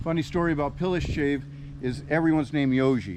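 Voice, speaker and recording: Very fast speech from a man with an American accent, medium pitch, and fairly even intonation over noticeable background noise. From US West Coast, Los Angeles. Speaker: expat. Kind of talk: casual interview.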